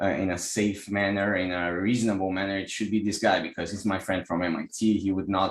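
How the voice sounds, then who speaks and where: At a fairly quick pace, a man with a Brazilian Portuguese accent speaks in a fairly low pitch with monotone, flat intonation. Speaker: energy healer and software engineer. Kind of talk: online class presentation. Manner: halting, many repetitions.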